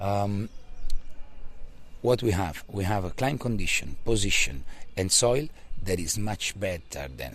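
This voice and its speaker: Pitch swings very widely as a man with an Italian accent speaks at a moderate pace. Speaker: winery owner family member. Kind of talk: interview answer. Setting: outdoors.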